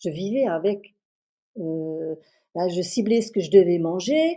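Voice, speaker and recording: A woman with a dark, mellow tone speaks at a fairly slow pace with lively intonation. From France, Moselle. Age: 60s. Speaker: customer giving a testimonial. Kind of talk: testimony. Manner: hesitant, many fillers and repetitions.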